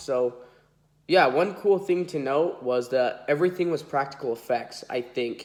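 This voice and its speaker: Nasal male voice at a fairly slow pace with ordinary pitch variation. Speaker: toy collector YouTuber. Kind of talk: unboxing video. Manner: casual, filler-heavy.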